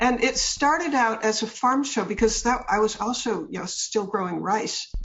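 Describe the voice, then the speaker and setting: Noticeable background noise is present throughout. The words come at a moderate pace. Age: 70s. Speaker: author and speaker. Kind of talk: interview.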